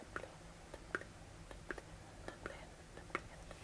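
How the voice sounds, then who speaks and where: Soft-spoken and gentle in tone, a woman talks at a fairly slow pace over noticeable background noise. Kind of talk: ASMR makeup tutorial, whispered to camera. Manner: soft-spoken, gentle, relaxing.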